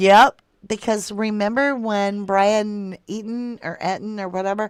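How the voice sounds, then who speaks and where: Speaking very slowly, a woman with an American accent has a fairly high pitch. The recording is very clean, dry and close, with no echo and a silent background. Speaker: true crime livestream host. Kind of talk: casual livestream chat reading viewer comments. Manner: casual, conversational.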